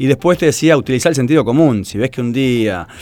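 A man with a Rioplatense accent speaks at medium pitch with lively intonation. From Argentina, Buenos Aires area (Tigre). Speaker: running coach. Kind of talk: interview.

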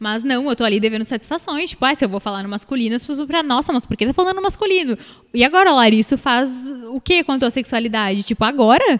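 A woman talks at a very fast pace. Her high voice moves with lively intonation. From Rio Grande do Sul, Brazil (São Leopoldo). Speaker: makeup artist and digital influencer. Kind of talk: casual chat.

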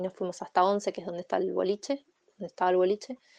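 A woman with an Argentine accent. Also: dry, close sound with no echo. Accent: Rioplatense Argentine Spanish. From Argentina, western Greater Buenos Aires. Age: 30s. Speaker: survivor of a nightclub fire. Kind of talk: testimony. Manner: halting, with many repetitions.

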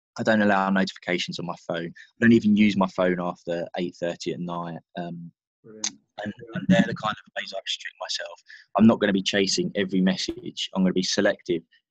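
Recorded with a dry, close sound and no echo, a man with a British accent talks at a fairly quick pace, with big swings in loudness. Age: 30s. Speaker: author, former sales professional. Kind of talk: casual interview chat. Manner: hesitant, many fillers.

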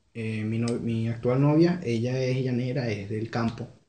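Audible room echo around a man's somewhat breathy, medium-pitched voice, dark and mellow in tone, with ordinary pitch variation. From Venezuela, Carúpano, Sucre state. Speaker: Venezuelan immigrant. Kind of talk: casual chat.

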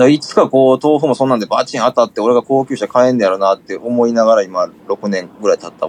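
Dry and close with no echo, a man's medium-pitched voice races at a very fast pace with hardly any pauses and ordinary pitch variation. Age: 30s. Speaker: music label manager. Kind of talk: casual chat.

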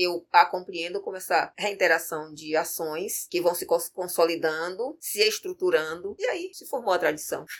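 This woman has a fairly low pitch and a plain, everyday voice, speaking at a moderate pace with hardly any pauses, fairly even intonation, and big swings in loudness. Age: 50s. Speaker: capoeira master and arts educator. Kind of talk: interview.

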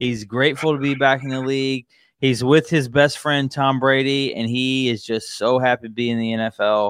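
In an unremarkable speaking voice, the speaker keeps a moderate pace and fairly even intonation against a quiet background. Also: man, medium pitch for a man. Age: 30s. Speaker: sports podcast host. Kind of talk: casual sports chat.

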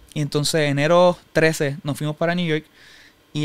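Speaking in a Puerto Rican accent, a man holds a fairly high pitch with monotone, flat intonation. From Puerto Rico (Humacao). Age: 20s. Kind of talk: personal testimony in interview.

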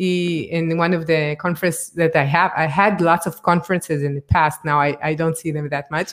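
Flat and monotone, a woman talks at a fairly quick pace with a fairly low pitch and hardly any pauses. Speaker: podcast host, innovation consultant. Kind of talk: casual interview chat. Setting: live video stream. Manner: halting.

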